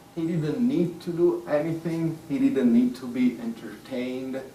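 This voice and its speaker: A man with an Italian accent at a fairly slow pace, high-pitched with very wide pitch swings, in audible room echo. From Italy (Rome). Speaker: author. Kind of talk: public talk.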